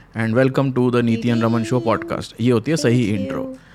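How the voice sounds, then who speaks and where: A man with a medium pitch speaks in fairly even intonation while noticeable background noise carries on behind him. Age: 30s. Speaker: podcast co-host. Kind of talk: casual chat. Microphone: too quiet.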